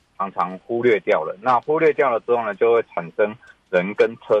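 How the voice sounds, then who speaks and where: This is a man speaking. His pace is moderate. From Taiwan, rural Tainan. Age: young. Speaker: civil engineering professor. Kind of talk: radio interview.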